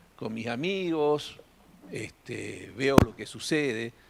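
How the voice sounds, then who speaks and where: A man speaks with ordinary pitch variation. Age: 60s. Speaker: audience member. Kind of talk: audience testimony at a live event. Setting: in-person event with audience. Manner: halting.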